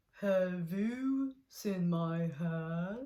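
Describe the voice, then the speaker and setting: This is a put-on character voice that sounds female. It sits at a middle pitch. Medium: read story. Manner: slow, polite.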